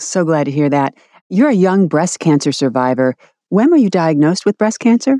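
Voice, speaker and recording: A woman speaks at a fairly quick pace in a fairly low voice with a dark, mellow tone. Her pitch swings very widely, and the sound is dry and close with no echo. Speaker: podcast host. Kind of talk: interview.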